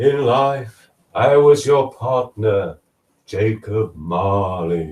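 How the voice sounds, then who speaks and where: Putting on a character voice at medium pitch, a man speaks at a very slow pace. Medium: read story. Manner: slow, grave.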